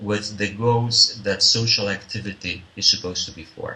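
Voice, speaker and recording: A man with a Spanish accent speaks at a moderate pace with fairly even intonation over noticeable background noise. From Spain. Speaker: social consultant and business developer. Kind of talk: interview answer.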